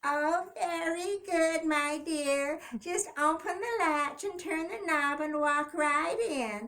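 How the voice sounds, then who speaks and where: A woman uses a put-on character voice at an extremely high pitch. She speaks at a very slow pace with hardly any pauses. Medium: read story. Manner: sly, put-on sweetness.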